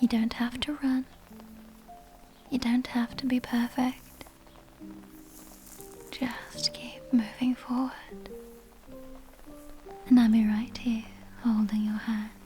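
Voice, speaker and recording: A soft-spoken woman talks very slowly in a gentle, soothing tone, her fairly high voice flat and monotone, with long, frequent pauses and music in the background. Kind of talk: girlfriend roleplay comfort ASMR. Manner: soft-spoken, gentle; slow, soothing.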